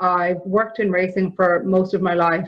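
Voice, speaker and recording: A woman at medium pitch talks at a moderate pace with a monotone, flat intonation. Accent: Irish. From Ireland. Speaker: equine therapy provider. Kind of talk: conference presentation.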